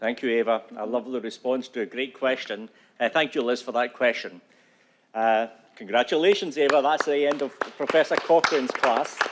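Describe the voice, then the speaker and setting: Fairly quick speech from a man with a Scottish accent. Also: medium pitch for a man, ordinary pitch variation. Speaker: event moderator. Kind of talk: event moderation.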